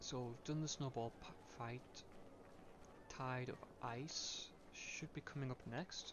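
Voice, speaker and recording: Speaking at a very slow pace, a man leaves long, frequent pauses. His intonation is fairly even. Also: medium pitch for a man. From northeast England, Durham. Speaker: gaming streamer. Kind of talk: game walkthrough livestream commentary. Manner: hesitant with frequent fillers.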